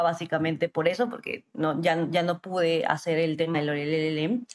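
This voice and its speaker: A woman speaks at a moderate pace in an ordinary speaking voice. Her pitch is fairly low and her intonation fairly even. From Peru, Arequipa. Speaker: lawyer and entrepreneur. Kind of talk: interview.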